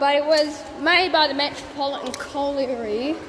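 A woman with a high pitch speaks at a fairly slow pace and fairly even intonation over light background noise. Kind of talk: casual vlog chat. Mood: slightly nervous, amused. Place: tunnel cave. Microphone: phone near.

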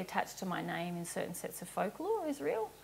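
A woman with an Australian accent. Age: 30s. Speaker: spiritual teacher. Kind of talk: Q&A explanation. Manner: casual, with frequent laughs. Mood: calm, earnest. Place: home room. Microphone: lapel.

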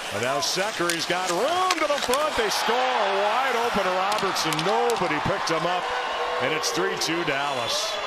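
A man at a moderate pace, dry sound without echo, loud background noise all around. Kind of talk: live sports commentary. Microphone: headset.

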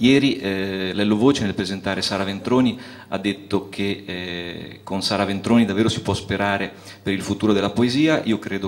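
A man with a fairly low voice speaks at a moderate pace with fairly even intonation, in an unremarkable speaking voice. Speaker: festival host. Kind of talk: stage introduction of a guest poet. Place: stage. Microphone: handheld.

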